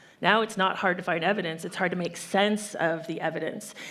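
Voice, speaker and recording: Audible room echo follows the woman as she talks fairly quickly. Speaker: human rights organization director. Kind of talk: panel discussion. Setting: conference stage with audience. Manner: fast; animated.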